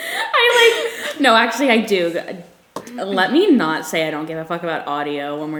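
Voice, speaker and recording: A woman at a fairly slow pace, with big swings in loudness, noticeable background noise and audible room echo. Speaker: podcast co-host. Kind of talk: casual chat.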